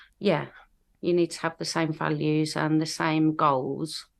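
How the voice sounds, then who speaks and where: A woman's very deep, low voice with vocal fry and flat, monotone intonation against a quiet background. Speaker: drum and bass DJ and vocalist. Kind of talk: casual chat.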